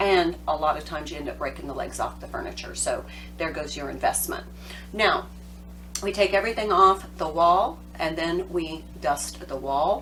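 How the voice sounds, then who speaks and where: A woman at a moderate pace, with big swings in loudness, audible room echo and noticeable background noise. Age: 50s. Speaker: home organizing advisor. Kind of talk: tutorial. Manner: casual, conversational.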